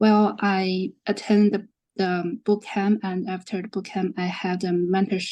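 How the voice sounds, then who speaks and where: A woman with a non-native accent speaks at a fairly slow pace in a dark, mellow tone of medium pitch. Her intonation is monotone and flat against a quiet background. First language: not English. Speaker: bootcamp alumnus, marketing data analyst. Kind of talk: panel discussion.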